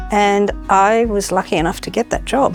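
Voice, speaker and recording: Music plays behind a woman speaking at a medium pitch and moderate pace. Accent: Australian. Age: 60s. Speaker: aged care worker. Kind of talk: interview testimony.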